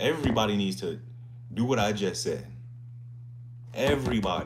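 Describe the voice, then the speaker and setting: There is noticeable background noise and audible room echo as a man with a medium pitch talks at a moderate pace. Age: 20s. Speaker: fitness streamer. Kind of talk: casual live stream chat. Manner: animated.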